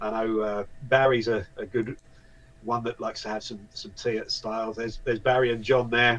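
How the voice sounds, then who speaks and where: Speaking fairly quickly, a man talks with a British accent. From UK. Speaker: voice actor and event volunteer. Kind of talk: casual interview chat. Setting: live video interview.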